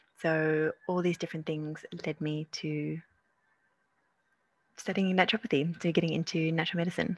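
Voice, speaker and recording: In a dry, close sound with no echo, a woman with an Australian accent speaks at a fairly low pitch with fairly even intonation. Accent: Australian-sounding. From South Africa. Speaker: naturopath and herbalist. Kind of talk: webinar presentation. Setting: video call webinar.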